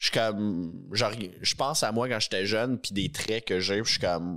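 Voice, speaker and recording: A man at a fairly low pitch and a very slow pace, in a very clean recording with a silent background. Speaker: podcast co-host. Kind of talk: casual chat.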